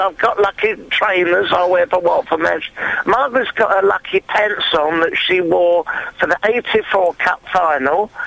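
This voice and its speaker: A man talks very slowly while noticeable background noise fills the recording. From Watford, Hertfordshire. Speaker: caller, football fan. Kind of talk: phone-in chat. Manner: halting.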